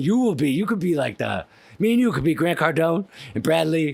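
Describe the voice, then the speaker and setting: A man's normal speaking voice, fairly high in pitch, with lively intonation and a fairly quick pace. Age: 30s. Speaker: podcast host. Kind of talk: casual interview chat. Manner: casual, many fillers.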